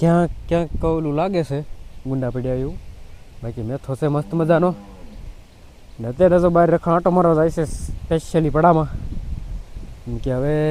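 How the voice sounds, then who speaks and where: A man speaks with a dark, mellow tone at a fairly high pitch. His pitch varies in an ordinary way. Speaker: farming vlogger. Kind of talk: casual vlog narration. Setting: outdoors on farm in rain and wind.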